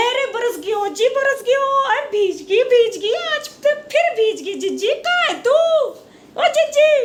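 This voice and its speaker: Putting on a character voice, a woman speaks at an extremely high pitch with lively intonation and a moderate pace. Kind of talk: comedy sketch dialogue. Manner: chattery, giggly.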